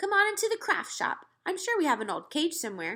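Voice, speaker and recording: A woman uses a put-on character voice at an extremely high pitch. Her pitch swings very widely at a fairly quick pace. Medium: read story. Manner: cheerful, enthusiastic.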